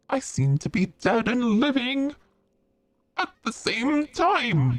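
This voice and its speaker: This is a put-on character voice at a fairly high pitch. It moves at a very slow pace. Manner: giggling.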